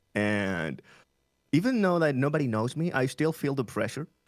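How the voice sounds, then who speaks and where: A man speaks with a Spanish accent at a moderate pace. The recording is very clean with a silent background. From Chile. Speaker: streamer and English teacher. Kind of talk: interview.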